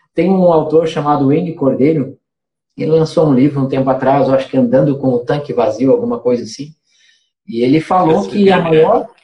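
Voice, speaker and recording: The tone is dark and mellow, and somewhat breathy. The pace is fairly quick. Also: man, fairly high pitch for a man, lively intonation. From Santa Catarina interior, Brazil. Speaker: missionary. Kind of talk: casual chat.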